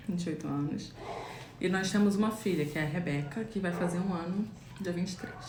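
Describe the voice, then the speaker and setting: A woman speaks at a fairly quick pace with a fairly low pitch and ordinary pitch variation. Noticeable background noise and audible room echo fill the recording. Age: 20s. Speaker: guest. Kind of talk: casual chat. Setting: Instagram live. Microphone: microphone far away.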